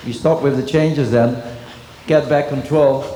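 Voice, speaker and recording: Man with a Dutch accent, monotone and flat, amid noticeable background noise and audible room echo. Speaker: dressage trainer. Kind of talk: clinic demonstration commentary.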